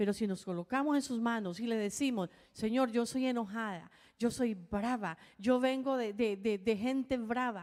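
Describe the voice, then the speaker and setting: At a fairly slow pace, a woman talks in an unremarkable speaking voice, pitched fairly high with ordinary pitch variation. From Colombia. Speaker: pastor's wife, co-preacher. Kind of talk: sermon.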